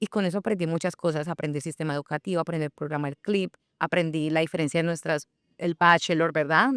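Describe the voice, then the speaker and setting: A woman with a Colombian accent, fairly low in pitch, very fast, fairly even in intonation, dry and close with no echo, on a very clean recording with a silent background. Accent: Cali (caleño) Colombian Spanish. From Colombia, Cali. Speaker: founder of a platform for immigrant professionals. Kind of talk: interview conversation. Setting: radio studio.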